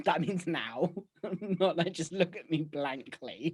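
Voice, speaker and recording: Over a quiet background, a man with a British accent speaks at a fairly high pitch. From UK. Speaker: podcast co-host. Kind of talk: casual chat. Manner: fast; breathless. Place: home room. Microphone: video call.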